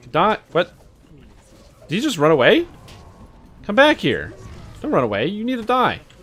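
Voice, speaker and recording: A man speaks at a high pitch with very wide pitch swings and long, frequent pauses. Music plays in the background. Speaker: video game streamer. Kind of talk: live gameplay stream chat. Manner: fast.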